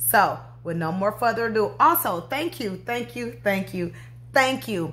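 A woman with a fairly low voice speaks with very wide pitch swings. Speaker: craft channel host. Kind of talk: casual vlog chat. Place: home room. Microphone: phone near.

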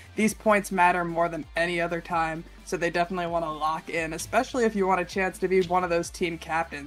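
Faint music plays behind a woman's fairly low voice. She speaks at a fairly quick pace in an energetic tone. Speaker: esports commentator. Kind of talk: live tournament commentary as co-host, fast and energetic. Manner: energetic, fast. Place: home room. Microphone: headset.

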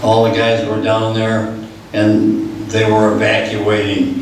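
Audible room echo and light background noise surround a man speaking at a very slow pace. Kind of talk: personal war story presentation. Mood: sober recollection of disaster. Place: hall.

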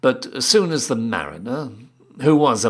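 The man's pitch swings very widely as he talks rather slowly. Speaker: town crier. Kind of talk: poetry reading, storybook narration.

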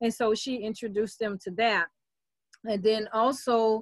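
A woman speaks with fairly even intonation and a fairly high pitch. The sound is dry with no echo, and the background is quiet. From New Orleans, US South. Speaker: internet marketer and voice app developer; presenter. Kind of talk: online presentation workshop. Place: home room. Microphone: video call.

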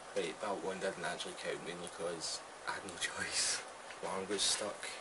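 A man talks fairly slowly while loud background noise fills the recording. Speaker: gamer. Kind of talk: gaming commentary. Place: home room.

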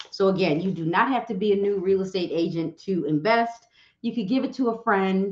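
The background is quiet, though the room echo is audible. A woman speaks at a moderate pace. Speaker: livestream host, real estate coach. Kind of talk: casual livestream chat. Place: home room.

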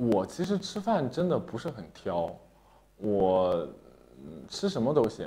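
Somewhat breathy and dark, mellow in tone, a man speaks at a very slow pace with long, frequent pauses and very wide pitch swings. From Shandong, China. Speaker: opera singer; interview guest. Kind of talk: interview. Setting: studio livestream. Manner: many filler sounds. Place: studio.

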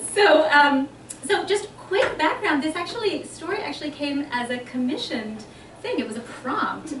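With noticeable background noise behind her, a woman speaks at a fairly slow pace in a high pitch. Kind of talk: casual remarks before a reading. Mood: warm, laughing. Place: hall. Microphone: podium.

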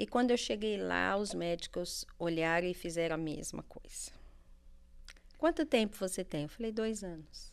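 A woman at medium pitch and a fairly slow pace. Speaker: life coach. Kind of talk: testimony. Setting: studio.

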